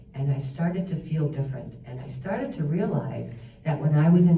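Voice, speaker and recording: Through audible room echo, a woman speaks at a very deep, low pitch. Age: 60s. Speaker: stroke survivor and massage therapist. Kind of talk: personal story talk.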